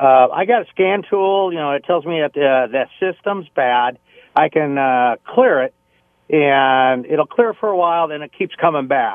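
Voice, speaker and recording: A man's unremarkable speaking voice, fairly high in pitch, with lively intonation at a fairly slow pace. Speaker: caller. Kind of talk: phone call. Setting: phone call.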